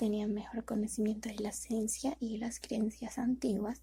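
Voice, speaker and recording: A soft-spoken woman with a fairly high pitch, a dark, mellow tone and vocal fry. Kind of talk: soft-spoken ASMR reading of educational history text. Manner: soft-spoken, slow.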